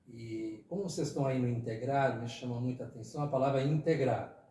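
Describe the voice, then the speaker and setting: Room echo is audible as a man speaks at medium pitch. His voice is somewhat breathy. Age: 60s. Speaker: retired teacher and former city councillor. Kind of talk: podcast interview. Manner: conversational with fillers, hesitant.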